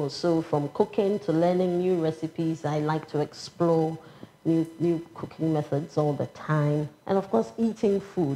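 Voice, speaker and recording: Someone with a Ghanaian accent speaks at a moderate pace over light background noise. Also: woman. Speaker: public official. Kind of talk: interview. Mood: calm, warm, smiling. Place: office.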